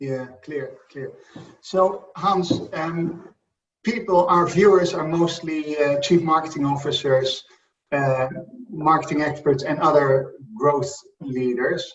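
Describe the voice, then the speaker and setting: In a Dutch accent, a man speaks at a very slow pace with a fairly high pitch, ordinary pitch variation, and long, frequent pauses. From Netherlands. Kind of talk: interview.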